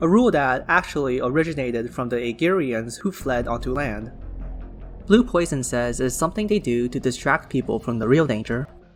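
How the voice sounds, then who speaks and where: Music plays in the background as a man speaks in a medium pitch. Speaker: lore summary narrator. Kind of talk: game lore summary narration.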